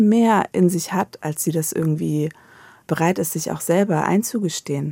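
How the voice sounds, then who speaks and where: In a very clean recording with a silent background and a dry, close sound with no echo, a woman speaks at a fairly slow pace with a fairly low pitch and a dark, mellow tone. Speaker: novelist and columnist. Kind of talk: radio interview. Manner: halting, many repetitions and fillers.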